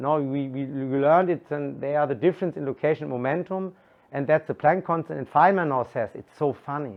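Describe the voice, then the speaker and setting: This man has a fairly high pitch and a German accent. He talks at a moderate pace with ordinary pitch variation. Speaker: physics lecturer. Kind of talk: explanatory, scientific. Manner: halting, repeats words.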